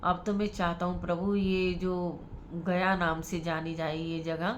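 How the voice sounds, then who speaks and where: A woman speaks at a fairly slow pace in a fairly low voice, with audible room echo. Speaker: religious storyteller. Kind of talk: religious storytelling.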